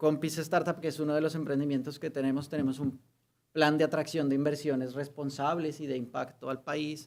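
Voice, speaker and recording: This man speaks with a Colombian accent. His pitch is fairly high and his pace fairly quick. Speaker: lawyer and human rights activist. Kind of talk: conference talk. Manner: hesitant, with fillers.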